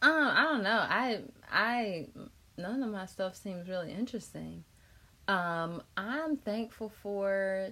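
In an American accent, a woman speaks at a very slow pace with medium pitch. Her tone is bright and sharp and her intonation lively. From North Carolina, Chapel Hill. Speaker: podcast host. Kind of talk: casual interview.

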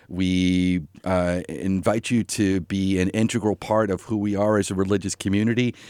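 In a very clean recording with a silent background, a man with an American accent speaks at a moderate pace with fairly even intonation, the sound dry and close with no echo. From US Northeast, Long Island, New York. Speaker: minister. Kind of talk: radio interview. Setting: studio. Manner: hesitant, many fillers.

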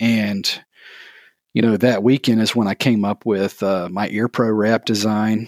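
Monotone, flat intonation and a fairly slow pace mark this voice with a Southern US accent, recorded very cleanly against a silent background with a dry, close sound and no echo. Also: man, fairly low pitch for a man. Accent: Southern US (Georgia). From US South, Georgia (south of Atlanta). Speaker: small business owner, maker of sewn shooting gear. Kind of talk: casual interview.

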